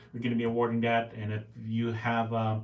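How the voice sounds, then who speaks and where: Talking at a fairly quick pace, a man's voice carries audible room echo. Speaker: podcast host, Marine veteran and Rotarian. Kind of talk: casual solo podcast talk. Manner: fast; halting, many fillers.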